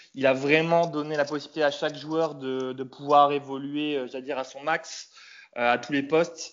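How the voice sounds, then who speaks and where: A man's loudness swings widely while his intonation stays monotone and flat. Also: fairly high pitch for a man, moderate pace. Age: 30s. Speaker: football fan. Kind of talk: casual chat.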